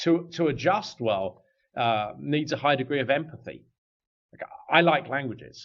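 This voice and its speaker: Speaking at a moderate pace with an English accent, a man with a fairly high pitch uses lively intonation and vocal fry, broken by long, frequent pauses. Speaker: business executive. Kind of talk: podcast interview.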